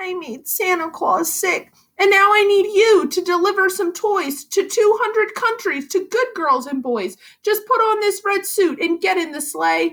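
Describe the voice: Putting on a character voice, a woman speaks fairly slowly at an extremely high pitch with a fairly bright tone. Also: ordinary pitch variation.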